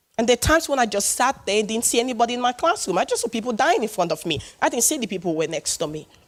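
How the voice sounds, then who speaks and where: Speaking very fast with a West African accent, a woman uses a fairly high pitch and very wide pitch swings. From Sierra Leone. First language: not English. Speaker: public speaker. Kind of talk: personal testimony talk. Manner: animated.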